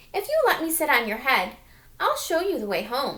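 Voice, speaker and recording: A woman's high-pitched, put-on character voice at a moderate pace. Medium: read story.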